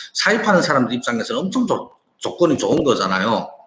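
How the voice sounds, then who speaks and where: Very wide pitch swings run through this man's high voice. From China. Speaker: online business owner and entrepreneur. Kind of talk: casual monologue to viewers, business talk. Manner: halting, with frequent repetitions and restarts.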